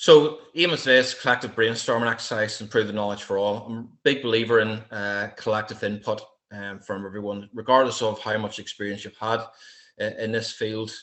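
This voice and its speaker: In a strong Irish accent, a man of medium pitch talks at a fairly quick pace with fairly even intonation. His volume swings widely. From Ireland. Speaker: military veteran and wildlife security trainer. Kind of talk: lecture. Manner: hesitant, many fillers.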